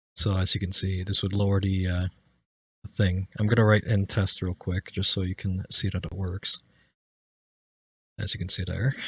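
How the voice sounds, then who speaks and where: A man's very deep, low voice, somewhat breathy and monotone, at a moderate pace with long, frequent pauses. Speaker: streaming tutorial maker. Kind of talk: tutorial. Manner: halting, stuttering.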